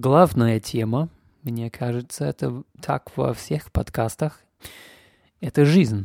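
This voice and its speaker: A man with a non-native accent speaks at a very slow pace with long, frequent pauses, his medium-pitched voice dark and mellow in tone with lively intonation, in a dry, close sound with no echo on a very clean recording with a silent background. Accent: foreign accent in Russian. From Canada. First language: English (speaking Russian). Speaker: podcast host. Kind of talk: casual monologue. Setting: home.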